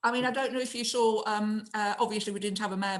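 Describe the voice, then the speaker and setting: In a northern English accent, a woman speaks at a very fast pace. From northern England. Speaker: mayor. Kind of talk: casual interview chat.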